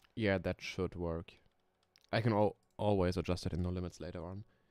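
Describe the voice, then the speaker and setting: Speaking in a very deep, low pitch with a slight German accent, a man keeps a moderate pace and fairly even intonation. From Germany. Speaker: coaster sim streamer. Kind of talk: casual live stream chat. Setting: live stream.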